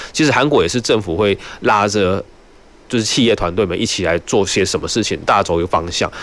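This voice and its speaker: Here a man speaks at a fairly quick pace in a fairly low voice. It is an unremarkable speaking voice, with ordinary pitch variation. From Taiwan, Nantou. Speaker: city cultural affairs official. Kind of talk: radio interview. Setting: radio studio, live broadcast.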